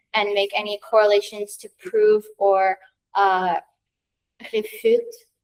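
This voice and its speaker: The sound of a woman talking is dry and close, with no echo. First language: French. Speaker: student researcher presenting project. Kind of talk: presentation. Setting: room with audience. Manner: casual, hesitant with fillers.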